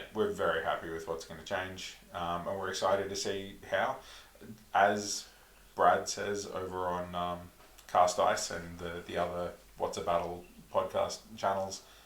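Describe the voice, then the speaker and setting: Speaking at a fairly slow pace, a man talks in an Australian accent. Room echo can be heard. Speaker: podcast co-host, tabletop wargamer. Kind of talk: casual chat.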